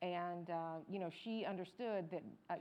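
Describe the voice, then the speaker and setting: This woman's voice sits fairly low in pitch. She speaks with an American accent. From US South, Georgia near Atlanta. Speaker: journalist. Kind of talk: panel discussion.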